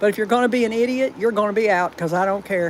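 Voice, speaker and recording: Someone speaks in a Southern US accent amid noticeable background noise. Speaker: dog owner livestreaming. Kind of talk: casual live stream chat. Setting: home livestream. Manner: halting, repeats words.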